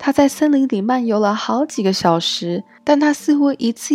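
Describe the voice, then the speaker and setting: A woman speaks in a gentle tone with lively intonation. Music plays behind her. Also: dry, close sound with no echo. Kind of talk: bedtime story reading aloud, German then Chinese translation. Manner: gentle storyteller, even and measured pacing.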